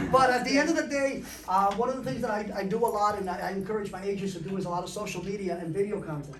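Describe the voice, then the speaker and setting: A man talks very fast at a high pitch with lively intonation. Room echo is audible, and background noise is noticeable. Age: 40s. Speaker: real estate broker. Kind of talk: panel discussion.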